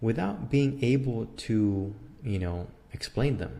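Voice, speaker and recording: Audible room echo around a man with a Spanish accent, fairly low, dark, mellow and somewhat breathy, at a fairly slow pace with ordinary pitch variation. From Mexico (Mexico City). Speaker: philosophy lecturer. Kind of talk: lecture. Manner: halting, many repetitions and fillers.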